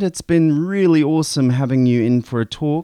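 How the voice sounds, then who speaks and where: A man with a New Zealand accent has a dark, mellow tone, recorded dry and close with no echo against a quiet background. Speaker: radio host. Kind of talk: radio interview. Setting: studio.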